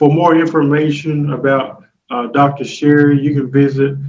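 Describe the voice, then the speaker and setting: With a Southern US accent, a man speaks at a fairly slow pace in a fairly high pitch and a monotone, flat intonation, with audible room echo. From Texas. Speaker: talk show host. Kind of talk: interview.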